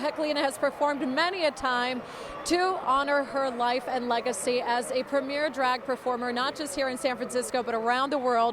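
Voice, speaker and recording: Over noticeable background noise, the voice moves at a fairly quick pace with fairly even intonation. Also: woman. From Southern California. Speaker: TV news anchor and reporter. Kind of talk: TV news field report.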